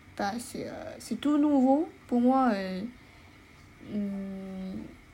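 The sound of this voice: A woman speaks at a very slow pace in a medium pitch, with ordinary pitch variation. Her tone is dark and mellow, and room echo is audible.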